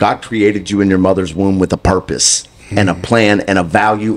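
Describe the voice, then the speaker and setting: A man in an American accent speaks fairly quickly at a fairly low pitch. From US South, Mississippi. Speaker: guest. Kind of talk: testimony. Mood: earnest, preaching tone. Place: studio. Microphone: handheld.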